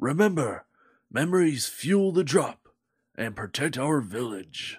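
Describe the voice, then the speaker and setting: Putting on a raspy character voice, a man speaks fairly slowly at a fairly high pitch with very wide pitch swings. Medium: audio drama. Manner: solemn, measured.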